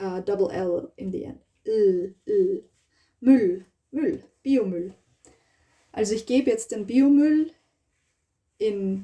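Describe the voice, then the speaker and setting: Speaking very slowly with long, frequent pauses, a woman with a fairly high, somewhat breathy voice and a dark, mellow tone swings very widely in pitch and makes big swings in loudness. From Austria. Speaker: language teacher vlogger. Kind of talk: casual tutorial. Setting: home kitchen. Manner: hesitant, many fillers.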